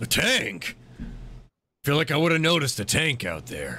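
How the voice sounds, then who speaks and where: A man puts on a raspy character voice with a fairly high pitch, speaking at a moderate pace. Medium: actual play. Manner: blunt, gruff.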